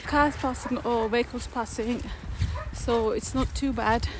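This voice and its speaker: A woman with ordinary pitch variation, dry sound with no echo, and noticeable background noise. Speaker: solo traveler vlogger. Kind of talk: casual vlog chat. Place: street. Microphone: phone near.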